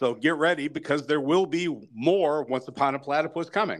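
A plain, everyday voice with ordinary pitch variation, on a very clean recording with a silent background. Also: man. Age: 50s. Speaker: podcast host. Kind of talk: casual interview.

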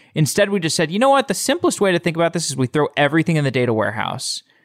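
A man with an American accent speaks with lively intonation. The recording is very clean with a silent background and a dry, close sound with no echo. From Texas, Austin. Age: 30s. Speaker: podcast host. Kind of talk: casual interview.

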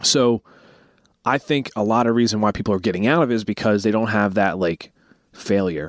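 Over a very clean recording with a silent background, a man with a fairly low pitch and an unremarkable speaking voice talks at a fairly quick pace. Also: ordinary pitch variation, very even loudness. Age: 20s. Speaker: podcast host. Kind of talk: casual chat.

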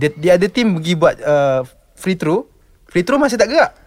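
A man with a high voice speaks at a moderate pace, his pitch swinging very widely. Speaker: basketball podcaster and player. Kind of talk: casual chat.

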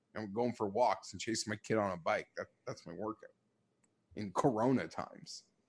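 With a dry, close sound and no echo, a man talks at a moderate pace, his fairly low pitch showing ordinary variation. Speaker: football podcast co-host. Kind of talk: casual chat. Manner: gets louder when excited.

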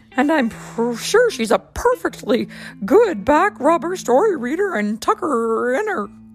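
Over clear background music, a woman uses a put-on character voice, high in pitch and at a moderate pace. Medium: read story. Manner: warm, calm.

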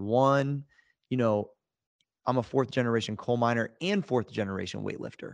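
A man with an American accent talks at a fairly quick pace, his pitch medium, against a quiet background. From Ohio, US. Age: 40s. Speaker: fitness entrepreneur. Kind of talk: interview. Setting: studio. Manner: animated.

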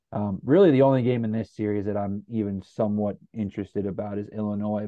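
A man with an American accent, medium pitch and fairly even intonation, in an ordinary speaking voice. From US Midwest (Northeast Ohio). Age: 20s. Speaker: sports podcast host. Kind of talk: casual chat.

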